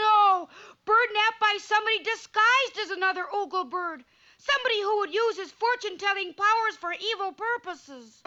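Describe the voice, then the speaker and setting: A cartoonish character voice at extremely high pitch and moderate pace. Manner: eager, earnest.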